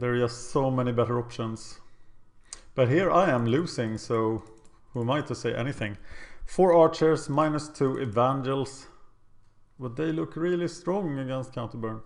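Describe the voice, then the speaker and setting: Speaking at a moderate pace with long, frequent pauses, the man has a medium pitch and ordinary pitch variation. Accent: Swedish. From Sweden. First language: Swedish. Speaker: gaming video creator. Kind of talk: gameplay commentary. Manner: casual, thinking aloud.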